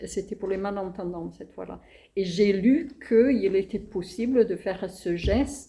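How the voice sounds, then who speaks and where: Somewhat breathy and dark, mellow in tone, a woman speaks with a non-native accent, ordinary pitch variation and big swings in loudness. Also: medium pitch for a woman, fairly slow pace. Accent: noticeable foreign accent in French. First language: not French (speaking French). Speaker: playwright. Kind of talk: interview. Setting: web radio interview.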